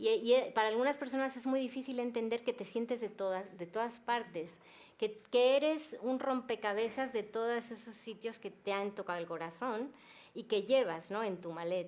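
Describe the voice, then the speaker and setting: This woman talks at a moderate pace with a fairly high pitch and ordinary pitch variation. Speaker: novelist. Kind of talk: panel discussion.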